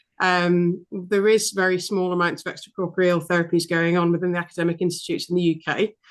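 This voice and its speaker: With a British accent, a woman speaks at a very fast pace. Her pitch sits in the medium range. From UK. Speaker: veterinary apheresis specialist. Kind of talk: casual chat.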